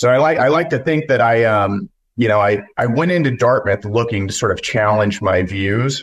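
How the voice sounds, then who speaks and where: With an American accent, a man speaks in a plain, everyday voice at a medium pitch. His pace is moderate and his intonation lively. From West Texas. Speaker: congressional candidate and news publisher. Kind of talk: interview.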